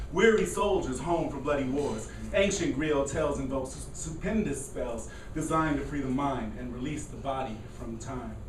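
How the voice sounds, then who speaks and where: At a moderate pace, a man talks while noticeable background noise is present. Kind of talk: poetry reading at open mic. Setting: coffee house open mic with live audience.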